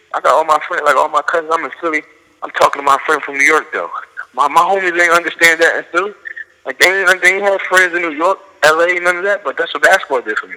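Amid noticeable background noise, a man speaks very fast in a high pitch with fairly even intonation. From South Philadelphia. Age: 20s. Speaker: pro basketball player. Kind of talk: casual interview.

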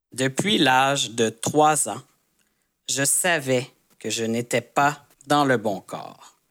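A man's very slow, medium-pitched speech in a Quebec accent, with long, frequent pauses and ordinary pitch variation. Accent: Canadian French. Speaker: army veteran, storyteller. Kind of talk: personal storytelling. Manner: intermediate-level French, clear.

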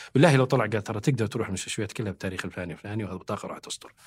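A man talks at a very fast pace in a somewhat breathy voice with ordinary pitch variation. The recording is very clean, with a silent background. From Saudi Arabia. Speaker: government communication expert. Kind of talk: podcast interview. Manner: animated.

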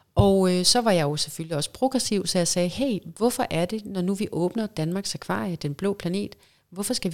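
In an ordinary speaking voice, a woman talks at a moderate pace with hardly any pauses, medium pitch and lively intonation, on a very clean recording with a silent background. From Denmark, Vejle area. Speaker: professional mermaid and actress. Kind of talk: casual interview.

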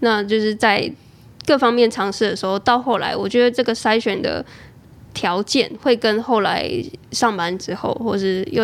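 At a moderate pace, a woman with a fairly high pitch and ordinary pitch variation has a plain, everyday voice. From Taiwan, Chiayi. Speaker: freelancer and podcaster. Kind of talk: casual interview chat.

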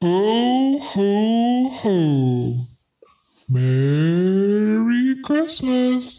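A put-on character voice, female-sounding, medium in pitch with very wide pitch swings. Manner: creepy.

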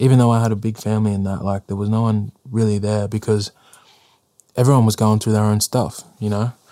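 A man with an Australian accent speaks at a fairly low pitch in a dark, mellow tone, with monotone, flat intonation. His fairly quick delivery sounds dry and close, with no echo. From northern New South Wales, Australia. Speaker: rapper. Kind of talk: interview. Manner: soft-spoken.

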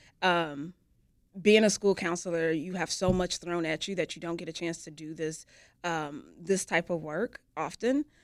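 In a plain, everyday voice, a woman with an American accent speaks at a fairly low pitch and a moderate pace, with ordinary pitch variation and a dry, close sound with no echo. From US Midwest. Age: 40s. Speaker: youth program director. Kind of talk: interview.

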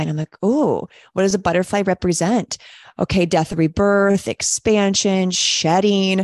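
A woman with an ordinary speaking voice talks at a medium pitch and a moderate pace. Her intonation is fairly even, and the sound is dry and close with no echo. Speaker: coach and podcast host. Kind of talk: casual conversation.

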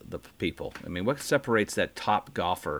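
A man speaks at a moderate pace in a fairly low pitch, with a plain, everyday voice. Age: 60s. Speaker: podcast host, golfer. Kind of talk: interview.

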